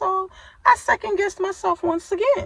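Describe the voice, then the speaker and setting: Here a woman is speaking. Noticeable background noise is present. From New York. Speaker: survivor telling her story, channel host. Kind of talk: personal testimony on a livestream. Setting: live social media stream. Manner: tough, not soft-spoken; animated, conversational.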